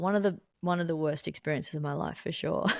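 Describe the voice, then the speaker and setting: This woman talks at a fairly quick pace. She speaks in an Australian accent. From Melbourne, Australia. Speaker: musician, songwriter, guitarist. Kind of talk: interview answer.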